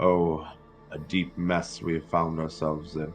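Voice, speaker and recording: A man uses a put-on character voice with very deep, low pitch and monotone, flat intonation. He talks at a moderate pace with clear music in the background. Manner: muttering to self.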